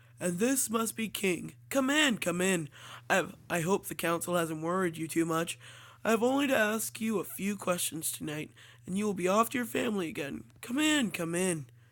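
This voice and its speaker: Raspy put-on character voice at a middle pitch and moderate pace, on a very clean recording with a silent background. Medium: solo performance. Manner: warm, rambling.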